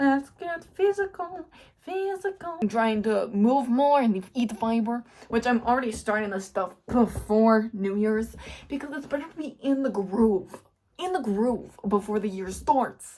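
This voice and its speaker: A woman mumbles in a fairly high voice with an animated tone. Her pitch swings very widely. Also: fairly slow pace. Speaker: YouTuber, lifestyle vlogger. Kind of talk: casual vlog talk to camera. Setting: at home. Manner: mumbling.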